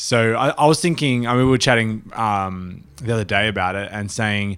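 Fairly low male voice with an Australian accent, moderate pace and ordinary pitch variation, on a very clean recording with a silent background. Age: 30s. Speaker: touring drummer and podcast co-host. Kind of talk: casual chat. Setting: studio.

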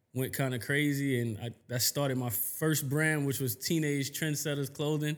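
In an American accent, a plain, everyday voice speaks at a moderate pace with fairly even intonation. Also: man, fairly high pitch for a man. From New York, Queens. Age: 30s. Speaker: fashion designer. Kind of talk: casual chat.

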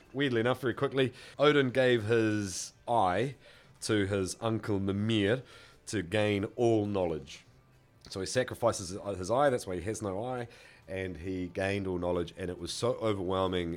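Against music in the background, a man with a New Zealand accent speaks at a moderate pace and fairly low pitch, with ordinary pitch variation. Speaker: podcast co-host. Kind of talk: casual chat.

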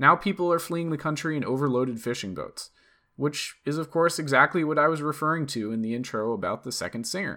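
A man with an American accent and a bright, sharp tone talks at a very fast pace with ordinary pitch variation in a very clean recording with a silent background. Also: fairly high pitch for a man. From US East Coast. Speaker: political podcast host. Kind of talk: political commentary monologue; scripted opinion essay read aloud.

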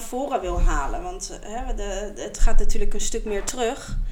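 Her pace is fairly slow. The woman's pitch swings very widely. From Netherlands, The Hague. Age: 30s. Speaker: podcast co-host. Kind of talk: casual chat. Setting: at a table with co-host.

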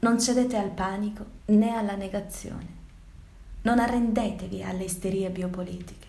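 Against noticeable background noise, a woman speaks at a moderate pace in a medium pitch, monotone and flat. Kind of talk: dramatic monologue, Italian version of the virus text. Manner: solemn, theatrical, declamatory.

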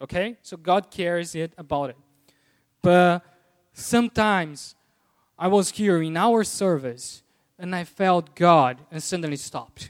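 In a Portuguese accent, a high-pitched man speaks at a fairly slow pace with ordinary pitch variation and long, frequent pauses, on a very clean recording with a silent background. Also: big swings in loudness. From Brazil. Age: 30s. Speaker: lay preacher. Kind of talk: sermon. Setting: church. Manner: halting.

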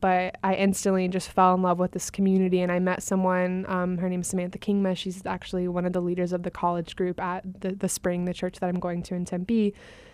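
A woman at medium pitch, speaking at a fairly quick pace against a quiet background. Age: 20s. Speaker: college student and singer. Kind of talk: casual chat. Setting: studio.

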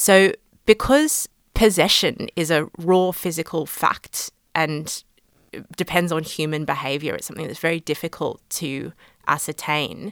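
A woman with an Australian accent speaks at a fairly low pitch and a fairly slow pace, with big swings in loudness. The recording is very clean, with a silent background and a dry, close sound with no echo. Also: ordinary pitch variation. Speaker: law lecturer. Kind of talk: interview.

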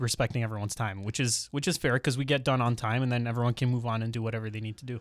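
A man with a Canadian accent speaks at a very fast pace, his medium pitch held in a flat monotone. The recording is very clean, with a silent background. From Ontario, Canada (Mississauga, Brampton). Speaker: millennial real estate investor and podcaster. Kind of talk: casual interview chat. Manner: articulate, well spoken.

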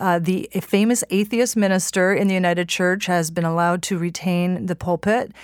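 At a very fast pace, a woman speaks at a medium pitch in a very clean recording with a silent background. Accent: Canadian. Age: 50s. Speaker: journalist and author. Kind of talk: interview.

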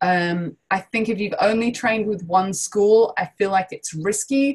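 With ordinary pitch variation, a woman talks in a somewhat breathy voice. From London. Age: 30s. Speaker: improv teacher and performer. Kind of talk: interview.

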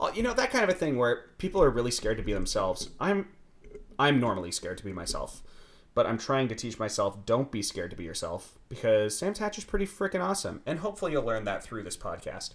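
A man talks at a very fast pace with a medium pitch and vocal fry. His pitch swings very widely. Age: 20s. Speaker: podcast host. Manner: fast talker.

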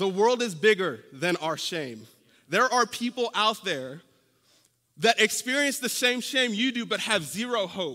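A man's high, raised, projected voice, bright and sharp, with lively intonation at a fairly slow pace. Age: 30s. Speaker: preacher. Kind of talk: sermon. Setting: church.

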